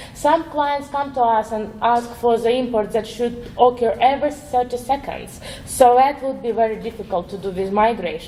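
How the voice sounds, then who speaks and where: Amid noticeable background noise, a woman with a high pitch speaks at a moderate pace with hardly any pauses and ordinary pitch variation. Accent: non-native. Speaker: web developer, conference speaker. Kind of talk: conference talk. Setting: stage with audience. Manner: hesitant, with fillers.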